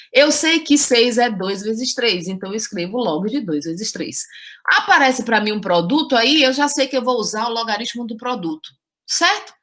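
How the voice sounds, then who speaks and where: A woman speaks at a high pitch and a moderate pace. Her tone is animated, with very wide pitch swings. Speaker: math teacher. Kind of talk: lecture.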